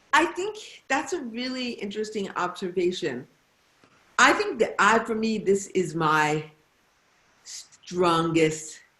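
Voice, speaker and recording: Using lively intonation, a woman speaks at a very slow pace with long, frequent pauses. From Detroit, US Midwest. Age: 60s. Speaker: novelist. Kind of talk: author conversation. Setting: video call.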